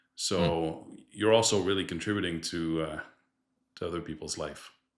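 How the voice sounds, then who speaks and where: This man has a Quebec accent. His pitch is very deep and low. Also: moderate pace, very clean recording, silent background. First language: French. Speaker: distribution director. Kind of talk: podcast interview.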